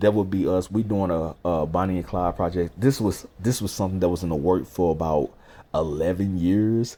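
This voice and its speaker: A man talks in a very deep, low voice with a dark, mellow tone. His pace is moderate and his pitch variation ordinary. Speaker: rapper and music creator. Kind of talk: casual vlog update. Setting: at home with newborn.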